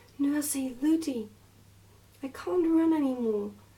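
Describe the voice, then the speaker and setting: A soft-spoken woman over noticeable background noise. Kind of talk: bedtime story reading.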